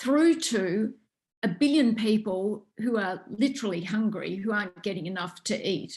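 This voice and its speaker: With an Australian accent, a woman speaks at a moderate pace in a somewhat breathy, fairly high voice with ordinary pitch variation. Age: 60s. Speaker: researcher and author. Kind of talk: interview.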